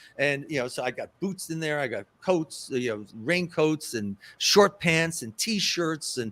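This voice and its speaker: A man talks with an American accent and lively intonation. His pitch is fairly high. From New York City. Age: 60s. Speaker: festival organizer. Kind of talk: interview. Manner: halting, many repeated words; casual.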